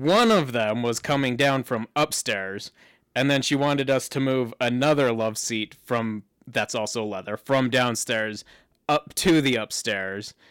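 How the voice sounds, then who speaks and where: A man speaks at a fairly slow pace in a normal speaking voice, with ordinary pitch variation. The very clean recording has a silent background and a dry, close sound with no echo. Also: medium pitch for a man. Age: 30s. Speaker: podcast co-host. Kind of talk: casual chat.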